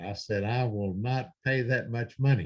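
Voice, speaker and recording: A man speaks at a medium pitch and a fairly slow pace, with ordinary pitch variation. His voice is somewhat breathy against a quiet background. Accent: American. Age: 70s. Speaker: preacher. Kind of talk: sermon. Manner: hesitant with many fillers.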